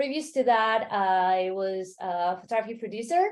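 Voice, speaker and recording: A woman with a Mexican accent speaks at a fairly slow pace with ordinary pitch variation. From Mexico City, Mexico. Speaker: travel startup founder. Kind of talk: interview.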